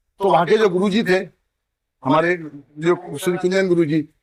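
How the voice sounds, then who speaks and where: A man speaks in a high voice for a man. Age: 60s. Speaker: wrestling coach. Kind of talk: interview.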